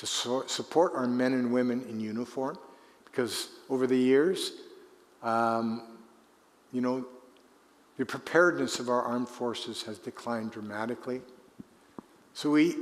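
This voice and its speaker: A man with a Canadian accent speaks at a moderate pace, his pitch medium and its variation ordinary. Long, frequent pauses break up his speech, and the room echo is audible. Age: 70s. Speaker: retired politician. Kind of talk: conference Q&A.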